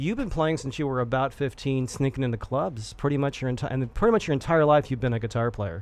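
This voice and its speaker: A man at a very fast pace with hardly any pauses, medium in pitch with ordinary variation. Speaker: radio host. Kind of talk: radio interview. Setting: studio.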